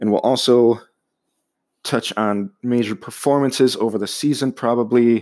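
This man talks in an American accent at a moderate pace and medium pitch, with monotone, flat intonation. The recording is very clean, with a silent background. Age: 20s. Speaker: podcast host, sports fan. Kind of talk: solo podcast monologue. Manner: casual with frequent fillers.

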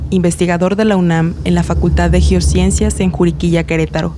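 A woman talks at a moderate pace with noticeable noise in the background. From Mexico, Guanajuato. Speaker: narrator and community water organizer. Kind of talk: scripted narration.

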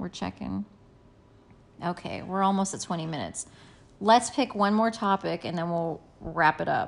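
A quiet woman at a medium pitch speaks with vocal fry and ordinary pitch variation, leaving long, frequent pauses. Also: moderate pace. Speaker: podcast co-host. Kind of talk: casual chat. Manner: softer, quieter.

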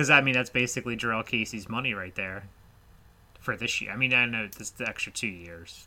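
This man has an ordinary speaking voice at a medium pitch, with ordinary pitch variation and a fairly quick pace. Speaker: fantasy football podcast host. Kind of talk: casual chat.

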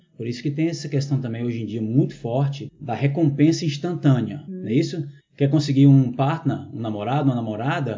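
A somewhat breathy man's voice, fairly high in pitch with ordinary pitch variation, at a moderate pace with hardly any pauses and audible room echo. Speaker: teacher. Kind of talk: casual chat. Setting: at home with hosts.

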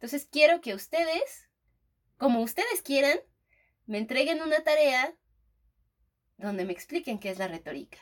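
Animated, high-pitched female voice with very wide pitch swings. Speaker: podcast co-host, teacher. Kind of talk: casual chat.

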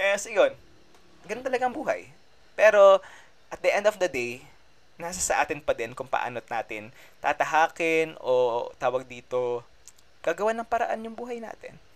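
Here a man with a high pitch talks at a moderate pace, with very wide pitch swings and big swings in loudness. He leaves long, frequent pauses. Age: 20s. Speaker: podcast host, medical student. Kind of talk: casual monologue. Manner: animated.

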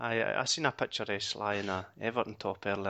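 With a Scottish accent, a man with a fairly low pitch and a bright, sharp tone speaks with fairly even intonation against a quiet background. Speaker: podcast host. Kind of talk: casual chat. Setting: recording at home late at night. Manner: muted, keeping voice down.

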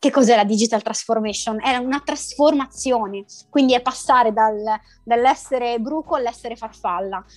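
Music plays behind a woman whose fairly high voice moves at a moderate pace and carries ordinary pitch variation. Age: 30s. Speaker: entrepreneur in digital consulting. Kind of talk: interview. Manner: halting.

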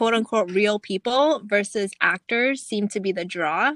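Bright and sharp in tone, a woman with an American accent speaks at medium pitch with ordinary pitch variation, on a very clean recording with a silent background and a dry, close sound with no echo. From US. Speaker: podcast co-host. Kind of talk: casual chat.

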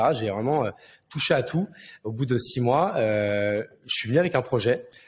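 A man speaks at a moderate pace in a medium-pitched, somewhat breathy voice. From France, Marne countryside (Champagne-Ardenne). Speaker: serial entrepreneur. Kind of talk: casual interview. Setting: Villa Maria in Bordeaux. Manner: animated, slangy with many hesitations.

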